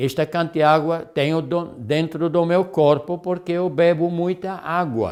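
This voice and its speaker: On a very clean recording with a silent background, a high-pitched man speaks at a fairly slow pace with hardly any pauses. His intonation stays fairly even. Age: 70s. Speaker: health lecturer. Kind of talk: lecture. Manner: halting, many fillers.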